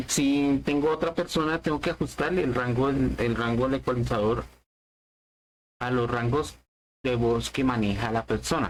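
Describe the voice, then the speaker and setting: A man talks at a moderate pace with long, frequent pauses. His loudness stays very even, and his pitch varies in an ordinary way. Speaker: tech podcast host. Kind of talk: tutorial.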